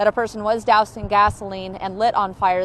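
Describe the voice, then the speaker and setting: Against noticeable background noise, a woman with an American accent speaks at a moderate pace. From Southern California. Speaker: TV news reporter. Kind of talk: TV news report.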